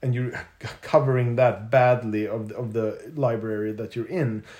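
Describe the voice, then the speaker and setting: Medium-pitched, somewhat breathy speech from a man at a fairly slow pace. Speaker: circus performer. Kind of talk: casual chat. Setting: recorded on location in Denmark.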